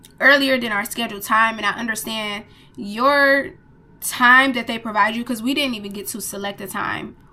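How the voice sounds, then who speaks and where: Speaking at a moderate pace, a woman uses a fairly high voice with a bright, sharp tone and ordinary pitch variation. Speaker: travel vlogger. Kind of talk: casual review monologue.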